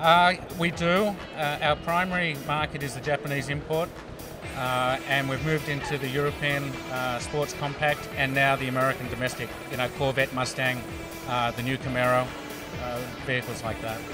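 Clear music plays behind a man speaking at a moderate pace. The sound is dry, with no echo. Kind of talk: interview answer. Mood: friendly, relaxed. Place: hall. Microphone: handheld.

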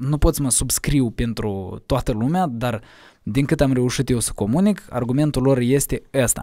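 A man at medium pitch and a fairly slow pace, dark, mellow tone and ordinary pitch variation, dry sound with no echo, quiet background. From Moldova, Cahul; Moldova. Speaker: musician; podcast guest. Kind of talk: casual interview. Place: studio. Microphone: studio mic.

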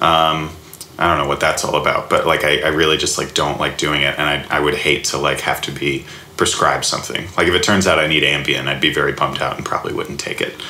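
Speaking very fast, a man talks with an American accent. Audible room echo and noticeable background noise fill the recording. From US South, Alabama. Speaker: comedy writer and improviser. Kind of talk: casual interview. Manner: halting, many fillers.

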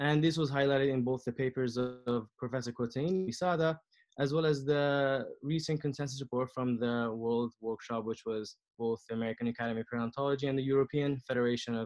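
Over a quiet background, a man speaks at a very fast pace with fairly even intonation. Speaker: periodontist and researcher. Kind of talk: lecture. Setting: video call. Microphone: video call.

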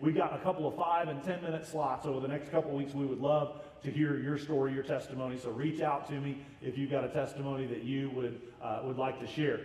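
Speaking fast with few pauses, a man with an American accent has a medium pitch and a slightly mellow tone, with faint background noise. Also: fairly even intonation.

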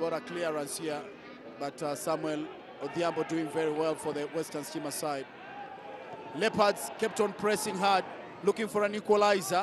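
Noticeable background noise sits behind a high-pitched man who speaks at a moderate pace with ordinary pitch variation and long, frequent pauses. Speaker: football commentator. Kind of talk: live football commentary, over match highlights. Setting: voice-over on match highlights.

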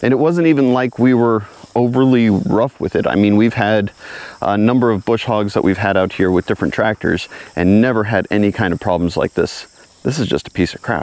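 The speech moves at a moderate pace with ordinary pitch variation. Loudness stays very even, and the sound is dry with no echo. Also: man. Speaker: homesteader vlogger. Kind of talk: casual vlog chat. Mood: frustrated, then impressed. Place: open country. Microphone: lapel.

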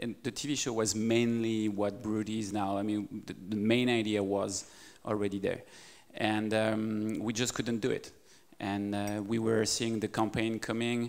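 The speech comes with a French accent at a fairly slow pace. Its intonation is flat and monotone. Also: man, fairly low pitch for a man. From France. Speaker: media startup CEO; guest. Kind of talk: interview. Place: hall. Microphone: handheld.

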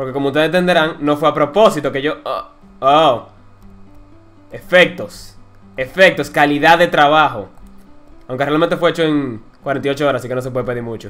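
Music plays behind a man whose voice is fairly high. His pitch varies normally, and he leaves long, frequent pauses. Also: fairly quick pace. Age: 20s. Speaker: gaming YouTuber. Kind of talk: gameplay commentary. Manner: casual, excitable.

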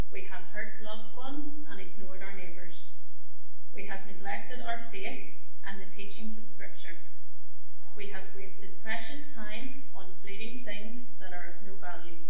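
Heard with light background noise and audible room echo, a woman speaks at a very even loudness. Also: ordinary pitch variation, moderate pace. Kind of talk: read prayer. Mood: solemn, calm. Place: church. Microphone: podium.

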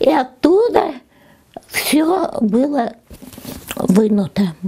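Her voice is high-pitched for a woman, with lively intonation. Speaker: witness of grandfather's arrest. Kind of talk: oral history interview answer. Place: home room. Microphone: lapel.

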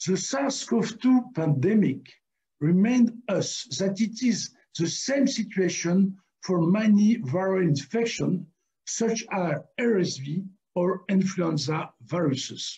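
A man's dark, mellow voice at a very slow pace. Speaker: award lecture presenter. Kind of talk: lecture. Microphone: webcam.

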